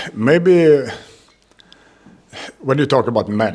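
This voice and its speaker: Speaking at a very slow pace, a man talks with a Swedish accent. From Sweden. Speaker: MMA fighter. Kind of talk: interview. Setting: fight week media, Paris. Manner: halting, many hesitations.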